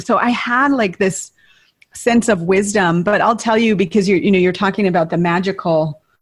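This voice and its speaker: With an American accent, a woman speaks in a normal speaking voice at medium pitch. Her pace is moderate and her pitch variation ordinary. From US Midwest (northern Minnesota). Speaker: retreat leader and coach. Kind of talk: casual interview.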